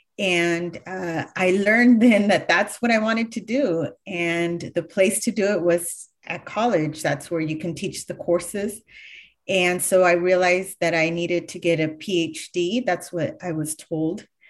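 With a Californian accent, a woman speaks at a fairly slow pace. Her pitch variation is ordinary, and the background is quiet. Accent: Californian American English. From California, Sacramento County (Galt). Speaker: history professor and author. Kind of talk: interview.

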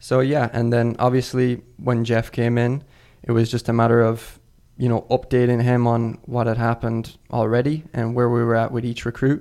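A man speaks with an Irish accent at a moderate pace and a medium pitch. His tone is dark and mellow, and his intonation is monotone and flat. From Ireland. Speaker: assistant soccer coach. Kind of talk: casual chat.

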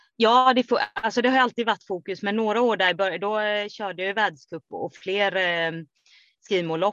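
A woman talks at a moderate pace and a medium pitch with ordinary pitch variation. The sound is dry and close, with no echo. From Sweden, Kalmar. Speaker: trail runner. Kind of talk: interview. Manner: hesitant, many fillers.

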